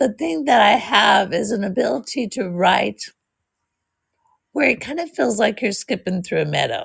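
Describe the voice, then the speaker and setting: A woman of medium pitch speaks at a moderate pace with lively intonation and some vocal fry. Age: 60s. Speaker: author. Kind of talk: interview.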